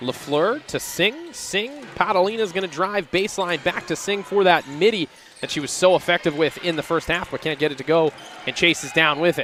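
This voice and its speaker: There is noticeable background noise as a man speaks at a moderate pace. His voice is high-pitched with ordinary pitch variation. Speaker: basketball play-by-play commentator. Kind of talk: live sports commentary. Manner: loud.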